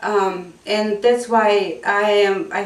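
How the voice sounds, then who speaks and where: The speaker has a Bulgarian accent, with audible room echo and noticeable background noise. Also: woman. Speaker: ESL teacher. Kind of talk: interview. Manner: hesitant with fillers.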